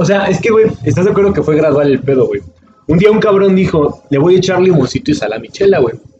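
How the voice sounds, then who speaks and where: A man talks at a very fast pace in an animated tone, his high pitch swinging very widely. Noticeable background noise is present. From Mexico. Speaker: podcast host. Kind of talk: casual chat.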